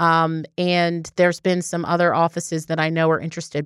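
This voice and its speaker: A woman with an American accent and a plain, everyday voice, fairly low in pitch, at a moderate pace, on a very clean recording with a silent background. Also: dry, close sound with no echo. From Baltimore, Maryland. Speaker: district attorney. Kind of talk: interview.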